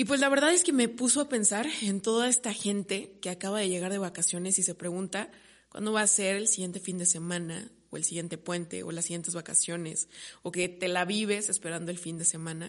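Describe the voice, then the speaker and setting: A woman talks at a fairly quick pace and a medium pitch. Her pitch varies in an ordinary way against a quiet background. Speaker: podcast host. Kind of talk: casual solo monologue. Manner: halting, stumbles over words.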